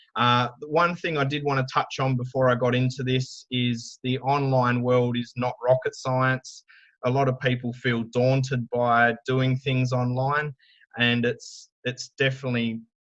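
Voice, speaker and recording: In an Australian accent, a man speaks at a fairly slow pace with monotone, flat intonation. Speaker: digital marketing speaker. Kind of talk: conference talk. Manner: loud.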